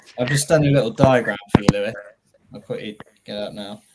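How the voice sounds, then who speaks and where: A man with a British accent, medium in pitch, at a fairly quick pace. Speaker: airsoft event co-owner and instructor, ex-military. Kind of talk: casual podcast chat. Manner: loud.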